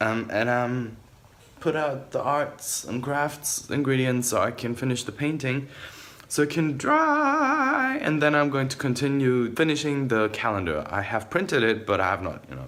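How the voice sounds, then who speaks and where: Noticeable background noise surrounds a man speaking at a moderate pace. His pitch is fairly high, with ordinary pitch variation. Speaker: vlogger. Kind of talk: casual vlog. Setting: at home.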